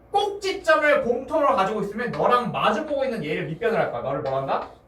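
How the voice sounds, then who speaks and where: Noticeable background noise runs beneath speech delivered fairly quickly. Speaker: math tutor. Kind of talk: lecture. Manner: fast.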